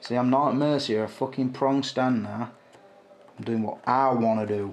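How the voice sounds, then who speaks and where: At a fairly slow pace, a man speaks in a monotone, flat way at a medium pitch. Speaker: action figure collector, video creator. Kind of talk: casual hobby vlog, hands-on commentary. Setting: at home, bedroom at night. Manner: talking quietly.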